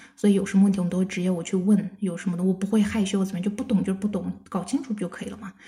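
A woman talks at a medium pitch. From China. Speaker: bank auditor. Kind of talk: casual chat.

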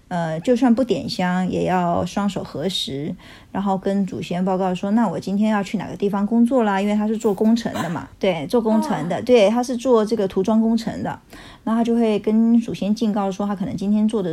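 A woman speaks fairly quickly at a medium pitch with ordinary pitch variation, in an ordinary speaking voice. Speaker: educator. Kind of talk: casual chat.

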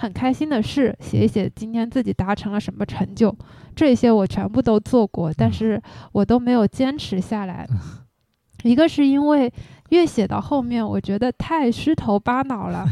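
This woman speaks at a moderate pace with lively intonation and a fairly high pitch, her tone dark and mellow. The sound is dry and close with no echo, and the background is quiet. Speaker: former education worker, now freelancer. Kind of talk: casual chat.

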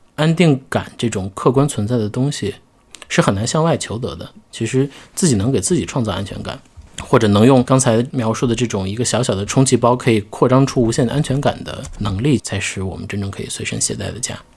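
A normal speaking voice from a man, medium in pitch with ordinary pitch variation, at a fairly quick pace. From Xi'an, China. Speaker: podcast host. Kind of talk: casual chat.

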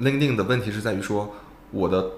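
A man at a fairly quick pace, ordinary pitch variation, audible room echo around him. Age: 30s. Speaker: startup founder, former headhunter. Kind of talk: casual interview.

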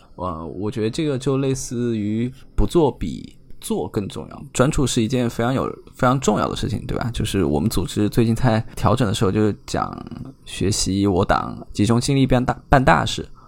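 Lively intonation marks this man's speech, delivered at a moderate pace and a medium pitch. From China, Chengdu. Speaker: strategy operations at a trading platform. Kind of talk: interview. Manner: halting, many fillers.

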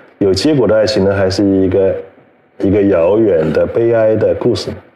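A man at a moderate pace with very even loudness, audible room echo and noticeable background noise. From China, Hubei (Yichang). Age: 50s. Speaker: magazine editor-in-chief. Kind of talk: live-streamed conversation. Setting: online livestream, seated beside host.

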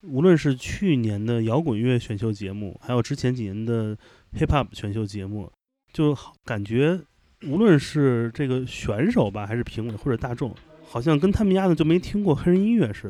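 With a dark, mellow tone and lively intonation, a medium-pitched man speaks at a moderate pace. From Shanghai. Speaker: podcast host. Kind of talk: casual interview chat. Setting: recording away from home, in Chengdu.

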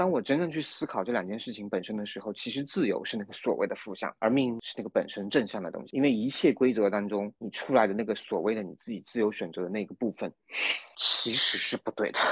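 The man's pitch is medium, with ordinary variation, and he talks at a very fast pace. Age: middle-aged. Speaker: new-energy car marketing manager, former theatre writer. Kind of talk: casual chat. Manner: halting, repeats words.

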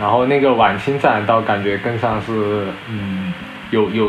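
Over music in the background and audible room echo, a man speaks with a fairly low pitch and fairly even intonation. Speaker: former student, graduate student. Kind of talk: casual chat. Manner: halting.

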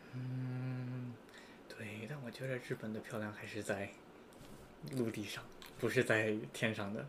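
Music runs in the background while a man speaks at a medium pitch and a fairly slow pace. His intonation is monotone and flat, with long, frequent pauses. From United States. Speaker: podcast guest. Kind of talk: casual chat.

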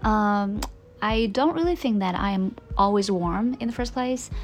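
A somewhat breathy woman with a Chinese accent and a fairly high pitch. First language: Mandarin Chinese. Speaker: podcast host. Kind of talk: casual monologue. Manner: hesitant, many fillers.

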